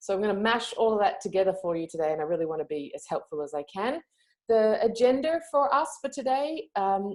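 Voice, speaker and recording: Over a quiet background, a woman with an Australian accent talks at a fairly quick pace and fairly high pitch, with very wide pitch swings. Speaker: yoga teacher and online marketing trainer; yoga teacher, online marketing trainer. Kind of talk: webinar training. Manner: hesitant, many fillers. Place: home room. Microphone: earbuds.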